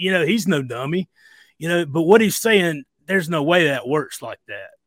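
A man talks in a Southern US accent at a fairly quick pace. His pitch is high, with ordinary variation. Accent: Southern US, audible. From US South, near Greenville, South Carolina. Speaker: emergency medical worker sharing diet story. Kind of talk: interview.

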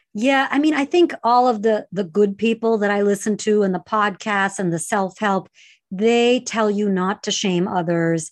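Against a quiet background, a woman with an ordinary speaking voice talks at a moderate pace, with medium pitch and ordinary pitch variation. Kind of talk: casual chat.

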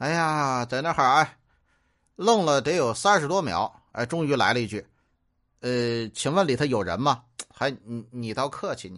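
Speaking with a Tianjin accent, a man of medium pitch uses lively intonation, a fairly slow pace and big swings in loudness. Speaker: comedian. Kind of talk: comic storytelling. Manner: animated.

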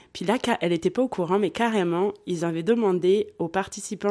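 Dark and mellow in tone, a woman's medium-pitched voice moves at a moderate pace with ordinary pitch variation. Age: 30s. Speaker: podcast guest, polyamory advocate. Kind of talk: casual interview.

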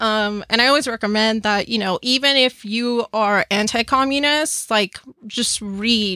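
On a very clean recording with a silent background, a woman with an American accent speaks at a fairly slow pace in a fairly high pitch with a bright, sharp tone. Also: dry, close sound with no echo. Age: 20s. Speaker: political organizer. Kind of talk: casual chat. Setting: studio.

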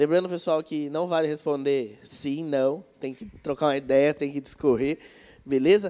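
A man's normal speaking voice, fairly high for a man, at a moderate pace with fairly even intonation and big swings in loudness. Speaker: youth church leader. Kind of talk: casual chat. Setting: livestream.

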